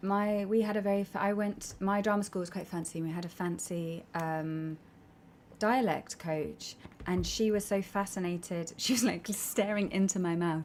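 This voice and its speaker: Speaking with an English accent, a woman uses a medium pitch, fairly even intonation and a moderate pace. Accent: posh English RP. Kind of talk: polished, posh.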